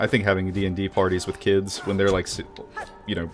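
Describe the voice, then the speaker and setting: With music in the background, a man with a very deep, low pitch speaks very fast in a monotone, flat way. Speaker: video game streamer. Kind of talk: gameplay livestream chat.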